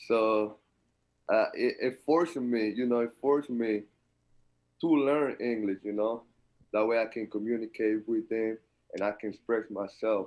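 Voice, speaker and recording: A man speaks with a strong Dominican accent and fairly even intonation. He leaves long, frequent pauses. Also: medium pitch for a man, moderate pace. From Dominican Republic. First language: Spanish. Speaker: college basketball player. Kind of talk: interview.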